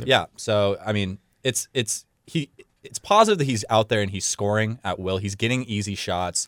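A man speaks in a plain, everyday voice at a moderate pace, with fairly low pitch, ordinary pitch variation, a very clean recording over a silent background, and a dry, close sound with no echo. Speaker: intern. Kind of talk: casual chat.

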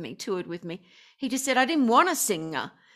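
A woman with an Australian accent and a high pitch on a very clean recording with a silent background. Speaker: singer and affirmation coach. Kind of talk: casual chat.

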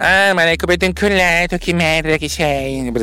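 At a moderate pace, a man speaks high in a put-on character voice. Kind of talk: crude, colloquial Italian. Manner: mocking, suspicious, confrontational.

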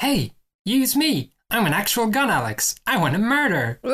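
The speaker uses a put-on character voice, fairly high in pitch, at a moderate pace. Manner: eager, murderous.

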